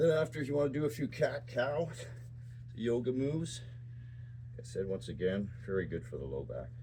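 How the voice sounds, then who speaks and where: A man with a dark, mellow tone and vocal fry speaks at a medium pitch with ordinary pitch variation. His pace is fairly quick, broken by long, frequent pauses. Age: 60s. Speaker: fitness channel host. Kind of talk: exercise tutorial.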